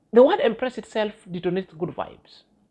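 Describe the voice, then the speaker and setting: This voice has a Kenyan accent and a fairly quick pace. The background is quiet. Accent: Kenyan accent, others say they love it. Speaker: YouTube vlogger. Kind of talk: vlog commentary monologue. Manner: halting with fillers and self-corrections.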